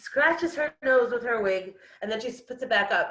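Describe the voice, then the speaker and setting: In an American accent, a woman speaks at a moderate pace with very wide pitch swings. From Brooklyn, New York (Israeli family). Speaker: storyteller sharing life story. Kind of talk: personal storytelling talk. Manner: animated.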